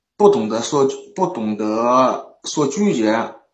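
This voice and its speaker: Very wide pitch swings from a man, with audible room echo. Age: 20s. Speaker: caller seeking relationship advice. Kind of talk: call-in conversation.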